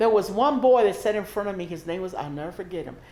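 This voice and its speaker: Speaking at a very fast pace, a woman has a dark, mellow tone, medium pitch and ordinary pitch variation. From Mexico, Matamoros, then raised in Houston, Texas. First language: Spanish. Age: 60s. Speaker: oral history interviewee. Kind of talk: oral history interview.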